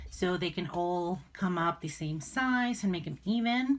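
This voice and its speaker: A woman with a non-native accent sounds somewhat breathy on a very clean recording with a silent background. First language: not English. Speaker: crafting YouTuber. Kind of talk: tutorial. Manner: hesitant, many fillers.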